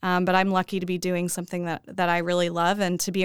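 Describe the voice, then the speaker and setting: In a very clean recording with a silent background and a dry, close sound with no echo, a woman with an American accent speaks at a fairly low pitch in a monotone, flat intonation. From Oklahoma, Edmond. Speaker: journalist. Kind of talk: casual interview.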